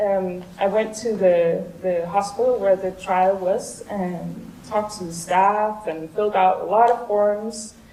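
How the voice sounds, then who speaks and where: Over noticeable background noise, a woman talks at a fairly slow pace and a medium pitch, her intonation monotone and flat, with hardly any pauses. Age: 30s. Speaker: vaccine trial participant. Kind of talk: conference talk. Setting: stage with audience. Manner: halting.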